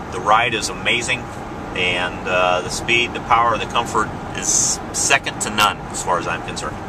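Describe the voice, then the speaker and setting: A man speaks over noticeable background noise. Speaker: car salesman. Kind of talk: product demo during test drive. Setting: in a car. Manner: whispering briefly.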